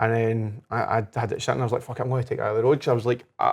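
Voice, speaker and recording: In a Glasgow accent, a man talks at a medium pitch. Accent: Scottish (Glasgow area). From Scotland. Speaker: life coach, podcast guest. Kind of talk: casual chat. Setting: whisky bar.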